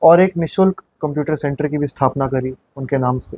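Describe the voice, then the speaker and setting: Somewhat breathy and dark, mellow in tone, the voice keeps fairly even intonation in a dry, close sound with no echo. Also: man. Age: 20s. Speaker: municipal election candidate. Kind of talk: interview.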